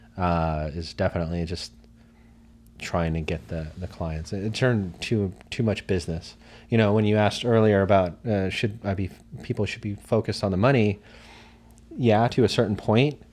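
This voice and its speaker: A man's unremarkable speaking voice, fairly low in pitch, with ordinary pitch variation at a moderate pace. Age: 30s. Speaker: photographer. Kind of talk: casual chat.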